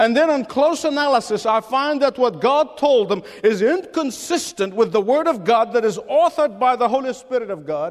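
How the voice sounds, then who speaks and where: A man speaks with lively intonation. His pitch is extremely high. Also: moderate pace, hardly any pauses. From Middle East. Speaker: pastor. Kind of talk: sermon. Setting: church.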